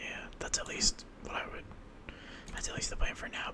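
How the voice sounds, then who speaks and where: A man whispers with an American accent. There is noticeable background noise. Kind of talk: casual gaming commentary with whispered ASMR delivery. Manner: whispered.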